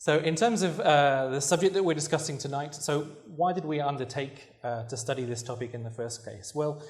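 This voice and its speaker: In a British accent, a somewhat breathy man speaks at a fairly quick pace with a fairly high pitch and ordinary pitch variation, in audible room echo. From Britain. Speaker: researcher and journalist. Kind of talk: lecture.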